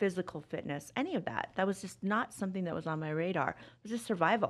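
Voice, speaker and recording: A woman with an American accent and a plain, everyday voice talks at a fairly quick pace, her pitch fairly low and her intonation lively. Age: 50s. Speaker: wellness coach. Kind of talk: interview. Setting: studio.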